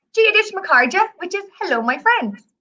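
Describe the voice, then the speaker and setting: A woman with an Irish accent, her raised, projected voice bright and sharp in tone, with very wide pitch swings. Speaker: travel company representative teaching Irish phrases. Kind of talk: language lesson on a live stream. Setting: live video stream. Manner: animated.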